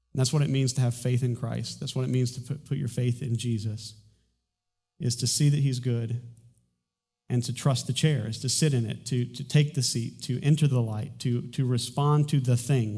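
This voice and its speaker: Somewhat breathy and dark, mellow in tone, a man speaks at medium pitch and a moderate pace with fairly even intonation. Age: 40s. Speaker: pastor. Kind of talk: sermon. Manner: halting.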